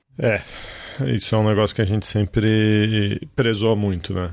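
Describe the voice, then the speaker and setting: A man at a fairly low pitch, with fairly even intonation. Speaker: podcast host. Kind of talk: casual chat.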